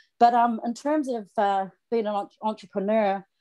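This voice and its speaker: With a New Zealand accent, a woman talks at a moderate pace in a dark, mellow tone with fairly even intonation. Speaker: online marketer and singer. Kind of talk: self-introduction on team call. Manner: halting.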